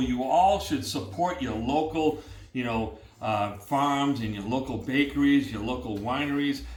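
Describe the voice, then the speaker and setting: A man with a New England accent speaks at a fairly slow pace. Noticeable background noise and audible room echo come through. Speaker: cooking show host. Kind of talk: casual chat. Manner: animated.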